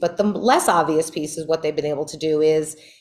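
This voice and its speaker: A woman with a very deep, low pitch speaks with a New York accent. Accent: New York, noticeable. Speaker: criminal justice advocate, former public defender. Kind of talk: Q&A talk at a meeting.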